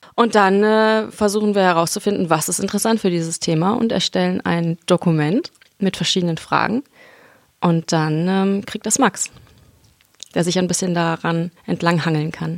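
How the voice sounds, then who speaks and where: At a moderate pace, a woman with an ordinary speaking voice and a fairly low pitch talks with ordinary pitch variation in a dry, close sound with no echo. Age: 20s. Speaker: musician and theology student. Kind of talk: casual chat. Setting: studio.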